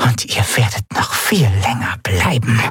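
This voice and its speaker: Over faint music in the background, a man speaks in a raspy put-on character voice at a medium pitch and a fairly slow pace. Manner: whispering.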